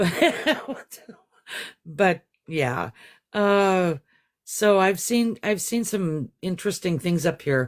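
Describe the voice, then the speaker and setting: Long, frequent pauses break up speech delivered very slowly. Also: very clean recording, silent background. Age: 60s. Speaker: guest sharing encounter story. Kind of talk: interview testimony. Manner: halting.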